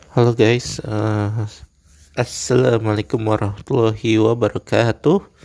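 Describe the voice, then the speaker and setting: Speaking at a moderate pace, a man uses a fairly low pitch and monotone, flat intonation. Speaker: solo podcaster. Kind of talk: casual monologue. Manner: hesitant, many fillers.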